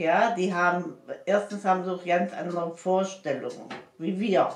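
Amid audible room echo, a woman speaks at a moderate pace in a monotone, flat intonation. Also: medium pitch for a woman. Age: 80s+. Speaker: grandmother. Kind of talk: casual interview answer. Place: home room. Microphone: camera far.

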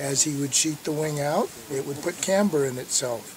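Talking at a fairly quick pace, a man is heard with a dry sound with no echo. Noticeable background noise runs underneath. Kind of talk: interview answer. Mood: relaxed, amused. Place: open country.

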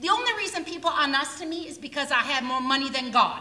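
In a put-on, gruff character voice, a woman speaks at a high pitch with very wide pitch swings. Clear background noise and a slight echo are present. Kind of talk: community theater stage acting. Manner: gruff, sarcastic, cantankerous.

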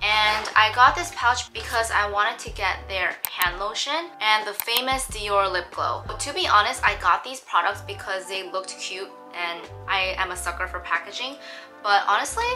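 Clear music plays in the background while the voice shows ordinary pitch variation. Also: woman. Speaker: lifestyle vlogger. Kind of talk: casual vlog chat. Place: home room. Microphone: camera far.

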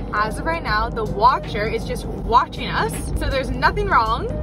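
The sound is dry, with no echo at all. Music plays clearly in the background while the speech moves at a moderate pace. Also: woman. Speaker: vlogger. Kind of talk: casual vlog chat. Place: car. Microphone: phone near.

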